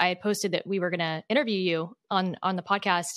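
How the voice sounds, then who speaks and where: At a very fast pace, a woman with a medium pitch speaks in a monotone, flat delivery on a very clean recording with a silent background. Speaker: podcast co-host. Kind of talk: casual interview conversation.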